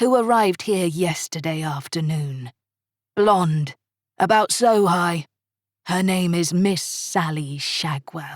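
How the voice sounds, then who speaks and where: Putting on a character voice, a woman with a fairly low pitch talks at a fairly slow pace with ordinary pitch variation, the sound dry and close with no echo in a very clean recording with a silent background. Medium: read story. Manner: smooth, polite.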